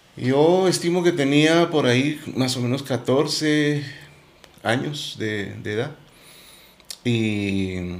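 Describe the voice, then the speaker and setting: With noticeable background noise behind him, a man speaks at a medium pitch. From Guatemala, Quetzaltenango. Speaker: musician. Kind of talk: interview.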